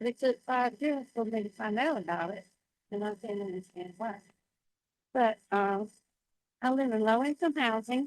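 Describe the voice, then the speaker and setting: With a Southern US accent, a woman speaks at a fairly high pitch, leaving long, frequent pauses. The sound is dry and close, with no echo. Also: ordinary pitch variation, moderate pace. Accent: Southern US (Georgia). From Georgia, US South. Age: 70s. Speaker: public commenter. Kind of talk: public comment testimony. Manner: halting.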